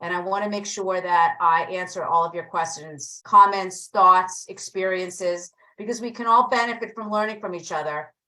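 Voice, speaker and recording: Bright and sharp in tone, a woman speaks in a New Jersey accent with ordinary pitch variation. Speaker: real estate agent and coach. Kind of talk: online training class.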